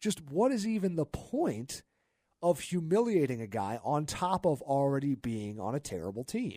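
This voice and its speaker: With an energetic tone, a man speaks in very wide pitch swings. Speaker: sports radio talk show host. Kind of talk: live sports radio talk show. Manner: conversational, opinionated, energetic.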